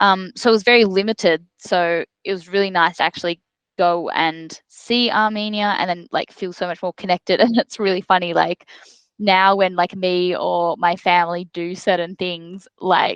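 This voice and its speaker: A woman speaks with an Australian accent at a moderate pace, her intonation fairly even. The sound is dry and close with no echo, over a quiet background. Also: medium pitch for a woman. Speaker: football player. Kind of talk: interview. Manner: casual, many fillers like um and like.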